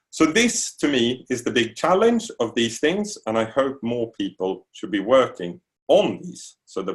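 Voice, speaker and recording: The speaker has a Swedish accent and hardly pauses at all. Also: man. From Sweden. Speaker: university lecturer. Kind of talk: lecture.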